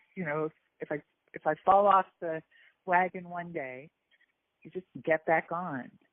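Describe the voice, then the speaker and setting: A woman speaks at a moderate pace with ordinary pitch variation, big swings in loudness, and long, frequent pauses. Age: 60s. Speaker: weight loss program client. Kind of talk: testimony. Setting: phone call. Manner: halting, many repetitions.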